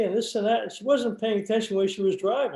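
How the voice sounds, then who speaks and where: This man's voice sits at a high pitch with a dark, mellow tone and ordinary pitch variation. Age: 70s. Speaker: interviewee, local resident. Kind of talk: oral history interview. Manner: halting, many repetitions.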